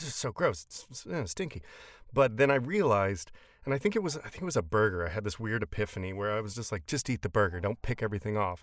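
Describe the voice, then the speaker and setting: Against a silent background in a very clean recording, a man with an American accent speaks very fast at a medium pitch with very wide pitch swings. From Texas. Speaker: voice actor. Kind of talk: casual chat. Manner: mumbling.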